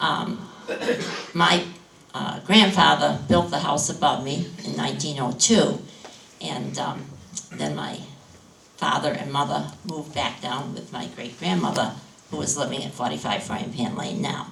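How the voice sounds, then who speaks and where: In a New England accent, a woman speaks at a fairly slow pace with long, frequent pauses, with audible room echo and noticeable background noise. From New Hampshire seacoast. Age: 70s. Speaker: farmer. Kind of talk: panel discussion. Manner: halting.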